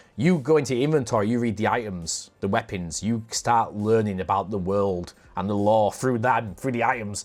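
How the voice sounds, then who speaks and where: On a very clean recording with a silent background, someone speaks at a moderate pace in a northern English accent. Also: man. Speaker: podcast host. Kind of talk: casual chat.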